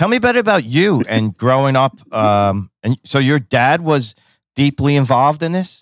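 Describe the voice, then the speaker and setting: On a very clean recording with a silent background and a dry, close sound with no echo, a man speaks in an ordinary speaking voice at a moderate pace, fairly high in pitch, with lively intonation and very even loudness. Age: 50s. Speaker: podcast host and baker. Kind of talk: casual interview.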